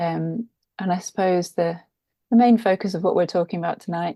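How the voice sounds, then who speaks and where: A woman with an English accent has a dark, mellow tone and fairly even intonation. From England, London. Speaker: author and podcast guest. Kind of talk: interview conversation.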